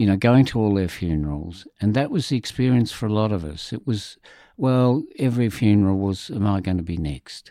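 Over a very clean recording with a silent background, a man with an Australian accent talks at a fairly quick pace, his fairly low, dark, mellow voice moving with lively intonation. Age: 70s. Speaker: HIV community advocate. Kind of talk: interview.

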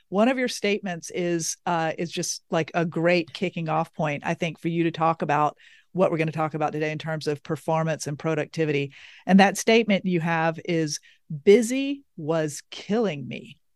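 A woman with a Southern US accent talks at a moderate pace and a fairly low pitch, with ordinary pitch variation. The sound is dry and close with no echo, over a quiet background. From US South. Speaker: podcast host. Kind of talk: interview, conversational.

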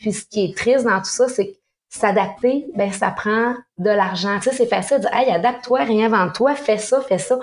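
A woman with a Quebec accent speaks at a moderate pace. Her voice sits fairly high, with ordinary pitch variation. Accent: Québécois French. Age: 50s. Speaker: sommelier and mixologist, business owner. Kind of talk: interview.

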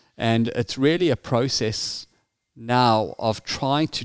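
In a South African accent, a man talks in a medium pitch with ordinary pitch variation, the sound dry and close with no echo on a very clean recording with a silent background. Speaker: security risk consultant. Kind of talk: interview.

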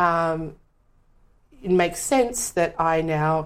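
Very slowly, a woman with an Australian accent speaks at a fairly low pitch. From Western Sydney, Australia. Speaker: performer and teacher. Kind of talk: casual chat.

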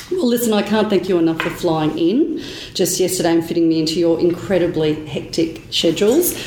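A woman with a fairly low pitch, ordinary pitch variation and very even loudness, speaking at a fairly quick pace over noticeable background noise. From Australia. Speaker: podcast host. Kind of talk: interview. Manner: animated.

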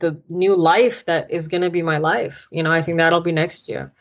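This woman keeps a moderate pace. Her pitch sits fairly low. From United States, Indian heritage. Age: 20s. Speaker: entrepreneur and motivational speaker. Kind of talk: interview. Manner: animated.

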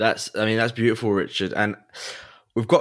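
Fairly low in pitch, a man speaks with an English accent. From England. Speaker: podcast host.

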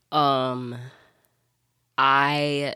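A woman's very deep, low voice with a bright, sharp tone and flat, monotone intonation, on a very clean recording with a silent background. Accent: Southern US. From Alabama, US South. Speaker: church staff resident. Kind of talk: casual interview.

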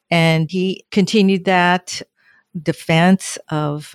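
A woman speaks with an American accent. Her intonation is flat and monotone. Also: dry, close sound with no echo. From Southern California. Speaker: retired petroleum engineer and energy official. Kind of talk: interview.

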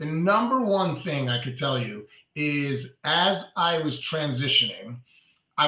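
Lively intonation marks this man's fairly high voice. He speaks with a New York accent. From New York (Brooklyn). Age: 40s. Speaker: mortgage broker. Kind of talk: interview.

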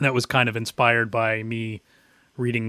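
The tone is bright and sharp, and the sound is dry and close with no echo. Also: man. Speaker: podcast host. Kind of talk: casual chat.

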